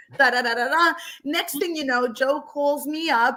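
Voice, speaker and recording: The voice has an animated tone with ordinary pitch variation. Its sound is bright and sharp. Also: woman. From Argentina. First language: Spanish. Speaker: stage actress. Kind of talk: casual chat.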